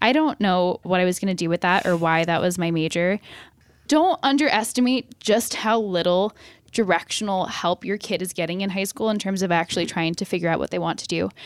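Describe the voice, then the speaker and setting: A woman with a plain, everyday voice at a fairly quick pace, dry and close with no echo. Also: medium pitch for a woman, ordinary pitch variation. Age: 20s. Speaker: newspaper columnist and author. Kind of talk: interview. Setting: video call from an office conference room.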